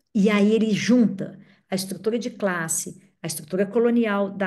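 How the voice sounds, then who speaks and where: Audible room echo surrounds a woman's somewhat breathy voice at a medium pitch. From Brazil, Minas Gerais. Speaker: psychoanalyst. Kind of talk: seminar talk.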